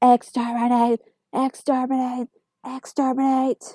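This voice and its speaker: In a put-on robotic character voice, a woman speaks at a fairly slow pace with a high pitch and monotone, flat intonation. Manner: menacing, shouting.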